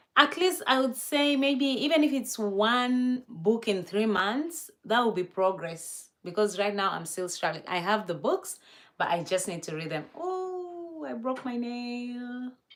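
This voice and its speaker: A high-pitched woman at a fairly slow pace, with very wide pitch swings and hardly any pauses. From Kenya. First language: not English. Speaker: live streamer. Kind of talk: casual livestream chat.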